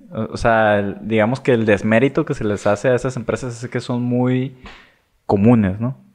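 Against a quiet background, a man speaks with an unremarkable speaking voice at a moderate pace. His medium pitch stays fairly even. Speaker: podcast co-host. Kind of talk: casual chat.

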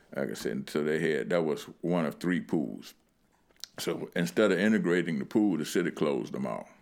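With vocal fry and an American accent, a man speaks at a moderate pace in a very deep, low pitch with lively intonation. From Lynchburg, Virginia (US South). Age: 60s. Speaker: community elder recalling civil rights era. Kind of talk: interview storytelling. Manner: halting, many fillers.

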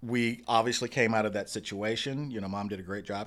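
Speaking at a fairly quick pace with an American accent, a man with a normal speaking voice and medium pitch comes through a very clean recording with a silent background. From Dallas, Texas (Oak Cliff). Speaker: arts nonprofit executive and Broadway producer. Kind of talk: interview.

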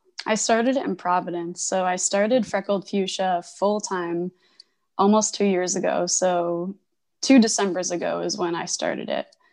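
Speaking with an American accent at a moderate pace, a woman has an unremarkable speaking voice of medium pitch and fairly even intonation. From Connecticut. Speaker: printmaker and illustrator. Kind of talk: interview.

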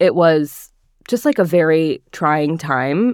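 With a New Jersey accent, a woman talks in a very deep, low pitch on a very clean recording with a silent background. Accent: American, New Jersey. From northern New Jersey. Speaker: recipe developer. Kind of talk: interview.

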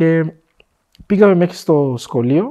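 Lively intonation from a man with a fairly high pitch and a dark, mellow tone, against a quiet background. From DR Congo. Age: 20s. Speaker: entrepreneur, former refugee. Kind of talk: interview, personal life story.

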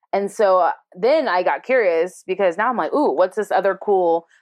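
It's a woman with an ordinary speaking voice at a medium pitch. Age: 30s. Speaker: comedian and tour guide. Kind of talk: casual chat.

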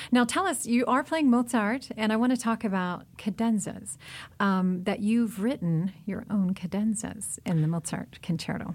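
A woman's fairly high, somewhat breathy voice with lively intonation at a moderate pace, on a very clean recording with a silent background. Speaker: radio host. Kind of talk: radio interview.

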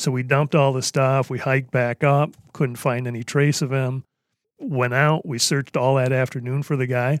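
A man with an American accent talks at a moderate pace in a medium pitch. His intonation is flat and monotone, and the sound is dry and close with no echo. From US Midwest. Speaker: hunting guide. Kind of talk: casual chat.

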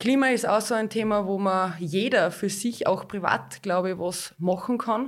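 A woman with an unremarkable speaking voice talks at a fairly slow pace, her pitch medium and her intonation fairly even. The recording is very clean, with a silent background. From Austria, Hallein (Salzburg). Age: 30s. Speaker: local politician. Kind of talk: interview.

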